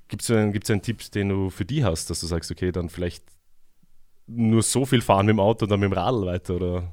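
A man speaks at a fairly quick pace in a plain, everyday voice, fairly low in pitch with ordinary pitch variation, on a very clean recording with a silent background. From Vienna, Austria. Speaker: community radio host. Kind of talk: radio interview. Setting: radio studio.

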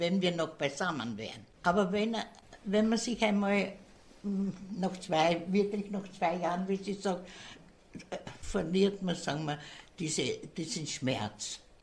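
This woman speaks at a fairly slow pace in a medium pitch. Her voice is somewhat breathy, with lively intonation. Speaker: retirement home resident. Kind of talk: interview.

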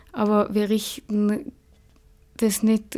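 A woman speaks in a dark, mellow tone at a medium pitch, her intonation monotone and flat. The recording is very clean, with a silent background. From Austria, Tyrol. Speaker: climate activist and doctor. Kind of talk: radio interview.

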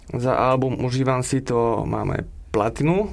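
A man talks very slowly at a medium pitch, his intonation fairly even. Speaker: music producer. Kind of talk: radio interview. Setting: studio.

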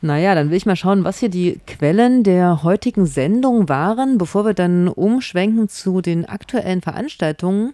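A woman speaks in a medium pitch with a dark, mellow tone and lively intonation, at a moderate pace with hardly any pauses. Her loudness stays very even, and the recording is very clean, with a silent background. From not from the local region. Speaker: community radio host. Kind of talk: casual satirical studio chat. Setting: radio studio.

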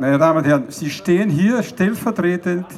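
A man with an Austrian accent and lively intonation. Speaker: transport science professor. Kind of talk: rally speech. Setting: outdoor rally with crowd. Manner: formal, lecturing, measured.

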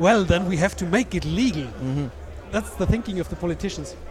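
A man speaks fairly quickly, with noticeable background noise in the recording. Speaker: podcast co-host and interviewer. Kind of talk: interview. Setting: live at a conference, noisy hall.

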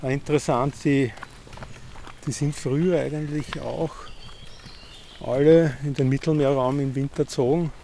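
Over noticeable background noise, a man with a fairly high voice speaks fairly slowly in a flat monotone, leaving long, frequent pauses. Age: 50s. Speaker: amateur ornithologist. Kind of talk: casual interview on a walk. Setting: outdoors in a park. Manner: halting, many fillers.

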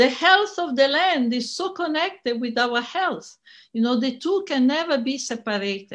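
Speaking at a moderate pace with an Italian accent, a woman uses a high pitch and very wide pitch swings. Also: quiet background. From Italy. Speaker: feminist scholar and activist. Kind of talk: conference talk. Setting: online conference recording.

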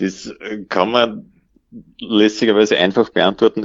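At a fairly slow pace, a man speaks. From Upper Austria, Mühlviertel. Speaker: everyday cyclist. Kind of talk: interview.

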